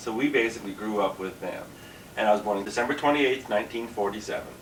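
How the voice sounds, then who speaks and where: Fairly low-pitched man with a Canadian accent, with noticeable background noise and audible room echo. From Canada, Ontario (Kingston). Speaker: drag queen comedian. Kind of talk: interview. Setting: dressing room.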